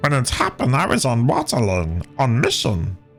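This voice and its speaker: A man's put-on character voice at medium pitch and a moderate pace, with faint music in the background. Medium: game stream. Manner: clipped, broken phrases.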